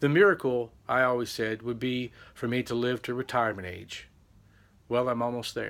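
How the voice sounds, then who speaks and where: A man with an unremarkable speaking voice talks at a moderate pace. His pitch is medium, with ordinary pitch variation. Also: very clean recording, silent background. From Texas, Amarillo. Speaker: vlogger. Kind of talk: personal testimony.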